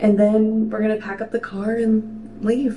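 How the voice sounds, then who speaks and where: A woman speaks at a moderate pace with light background noise. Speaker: vlogger. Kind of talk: casual vlog chat. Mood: reflective, content. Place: bathroom. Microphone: phone near.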